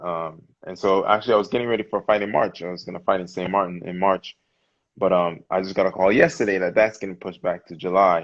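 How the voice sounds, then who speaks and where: With a Virgin Islands accent, a man talks very fast in a very deep, low voice, his intonation fairly even while his loudness swings widely. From US Virgin Islands, St Thomas. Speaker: professional boxer. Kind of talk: casual interview.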